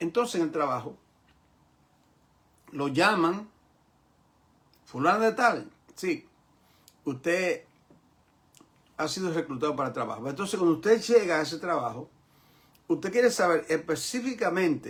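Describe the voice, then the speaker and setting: A man talks with lively intonation and a high pitch. He leaves long, frequent pauses. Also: moderate pace. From New York, Bronx. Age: 70s. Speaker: pastor. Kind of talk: lecture. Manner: repetitive, emphatic.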